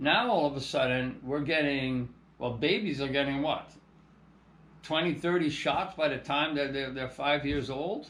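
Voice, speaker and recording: A man with a fairly high pitch speaks at a moderate pace, with ordinary pitch variation and audible room echo. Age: 60s. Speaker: landscape contractor and organic soil business owner. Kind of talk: casual monologue to camera. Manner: halting, many repetitions and fillers.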